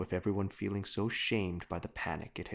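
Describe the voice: The voice is reading aloud. The delivery is plain.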